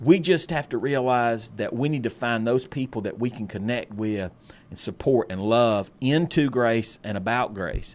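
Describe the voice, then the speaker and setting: This man has a plain, everyday voice and an American accent. His medium pitch shows ordinary variation at a moderate pace. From US South. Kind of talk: casual chat about faith.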